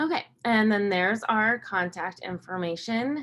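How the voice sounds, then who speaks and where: A woman uses a normal speaking voice at a fairly high pitch and a moderate pace. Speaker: cooperative development presenter. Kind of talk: webinar presentation.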